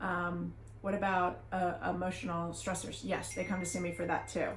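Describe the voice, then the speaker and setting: In a room with audible echo, a woman delivers her words at a moderate speed. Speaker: family doctor. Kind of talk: educational talk. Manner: animated.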